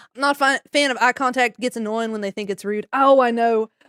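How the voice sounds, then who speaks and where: With a Southern US accent, a woman speaks at a fairly high pitch in a bright, sharp tone, with ordinary pitch variation and a dry, close sound with no echo. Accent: Southern twang. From Maryland, US. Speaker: streamer. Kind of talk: casual chat. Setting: live stream. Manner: animated.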